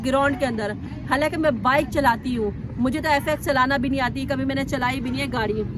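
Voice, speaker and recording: Over crowd noise and audible room echo, a woman speaks high at a moderate pace with ordinary pitch variation. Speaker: bike driving trainer. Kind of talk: tutorial. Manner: sounds stern, as if angry.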